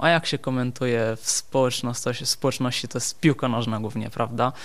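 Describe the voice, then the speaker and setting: Over a quiet background, a man with an Italian accent talks at a fairly quick pace and medium pitch in a monotone, flat intonation. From southern Italy, Benevento near Naples. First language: Italian (speaking Polish). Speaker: osteopath. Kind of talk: radio interview.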